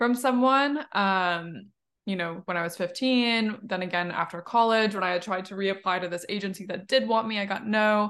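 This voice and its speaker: The pace here is moderate, and the pitch varies in an ordinary way. It is a normal speaking voice. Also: woman, medium pitch for a woman. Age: 20s. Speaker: podcast host. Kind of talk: casual interview chat.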